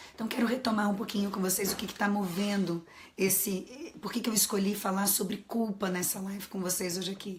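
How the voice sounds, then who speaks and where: Noticeable background noise sits behind a woman with a medium pitch. She speaks at a fairly quick pace with fairly even intonation. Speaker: psychologist and coach. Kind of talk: live stream talk. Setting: live stream.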